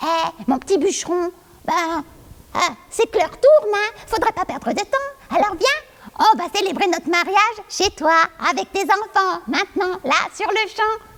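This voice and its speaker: Putting on a character voice, a female-sounding speaker pitches her words extremely high and keeps a moderate pace. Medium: stage play. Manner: coaxing, insistent.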